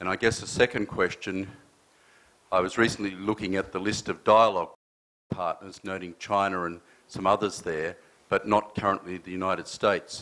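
In an Australian accent, a man talks at a fairly quick pace with a very deep, low pitch, a bright, sharp tone and monotone, flat intonation. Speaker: audience member. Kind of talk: audience question. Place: hall. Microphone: handheld.

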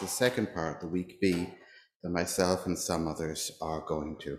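A man with a very deep, low pitch, plus audible room echo and light background noise. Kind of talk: church notices and liturgy. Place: church. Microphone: lapel.

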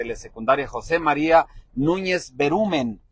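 With an animated tone and ordinary pitch variation, a man speaks at a fairly slow pace. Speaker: local online show host. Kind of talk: live roving broadcast. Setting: outdoors at a village fair, wireless mic, partly in a vehicle.

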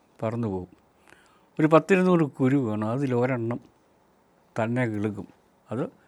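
A man's a plain, everyday voice, medium-pitched with ordinary pitch variation, on a very clean recording with a silent background. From Kerala, Meenachil river area. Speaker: retired chemistry professor, nature NGO president. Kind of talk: reflective monologue talk.

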